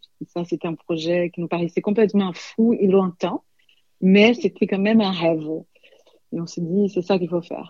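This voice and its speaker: A woman speaks at a moderate pace with medium pitch and fairly even intonation, leaving long, frequent pauses. Her tone is dark and mellow. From Brazil (São Paulo). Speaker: sommelier and restaurant co-owner. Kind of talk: interview. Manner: halting, many hesitations.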